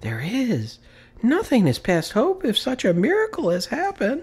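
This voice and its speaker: The speaker uses a put-on character voice at a fairly high pitch. It is raised and projected, delivered at a moderate pace. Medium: read story. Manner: anxious, eager.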